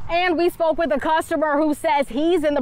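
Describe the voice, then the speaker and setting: Noticeable background noise surrounds a woman speaking with an American accent. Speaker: TV news reporter. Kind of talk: TV news reporter standups and live-shots.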